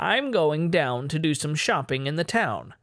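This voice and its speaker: This man adopts a put-on character voice set at a fairly high pitch. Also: moderate pace, lively intonation. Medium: read story.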